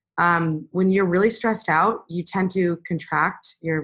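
An unremarkable speaking voice from a woman, fairly low in pitch, with ordinary pitch variation and a fairly slow pace. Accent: American. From USA. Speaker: physician. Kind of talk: interview. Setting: video call.

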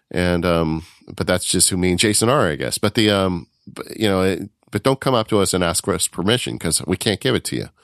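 With a very deep, low pitch and vocal fry, a man talks at a fairly quick pace with lively intonation. The sound is dry and close with no echo, on a very clean recording with a silent background. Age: 50s. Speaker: podcast host, independent worker. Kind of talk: casual chat.

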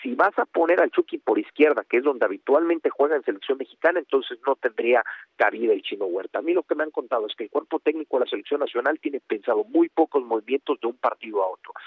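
A man's very fast speech with hardly any pauses. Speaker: national team reporter. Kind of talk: radio sports report.

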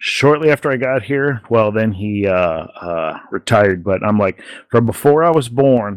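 The recording has a dry, close sound with no echo, carrying an unremarkable speaking voice with ordinary pitch variation. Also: man. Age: 40s. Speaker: sports podcast host. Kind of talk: casual chat.

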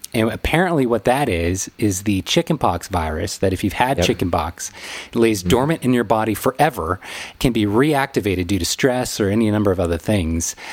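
A man talks in a normal speaking voice at a fairly low pitch. His pace is moderate and his intonation lively. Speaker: wedding photographer and podcast host. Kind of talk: casual chat.

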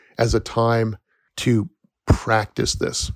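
On a very clean, dry, close recording with a silent background and no echo, a man speaks at a medium pitch. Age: 50s. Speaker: forest educator and podcast host. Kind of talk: solo podcast monologue. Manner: casual, with many fillers.

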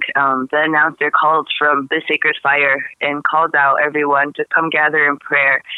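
A woman with a very deep, low pitch speaks in a monotone, flat way at a moderate pace. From Taos Pueblo, New Mexico. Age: 20s. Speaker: activist. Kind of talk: interview.

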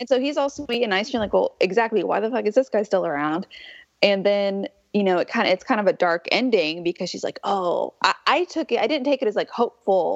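In a normal speaking voice, a woman talks at a fairly quick pace with lively intonation at a medium pitch. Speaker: guest, former producer and pop culture critic. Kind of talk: casual chat.

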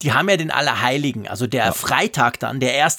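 This man has a fairly high pitch with vocal fry, very wide pitch swings and a moderate pace. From Switzerland. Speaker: tech podcast co-host. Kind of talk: casual chat. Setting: remote recording, separate locations.

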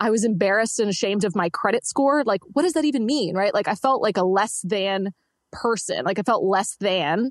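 A woman talks at a fairly quick pace in a normal speaking voice with medium pitch and lively intonation. Her loudness stays very even, and the sound is dry and close with no echo over a quiet background. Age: 20s. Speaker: entrepreneur coach and debt-free finance guest. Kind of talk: interview.

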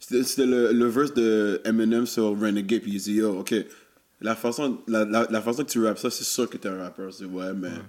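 At a moderate pace, a man with a plain, everyday voice talks at medium pitch, his intonation fairly even. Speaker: rapper and web series host. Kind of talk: casual chat.

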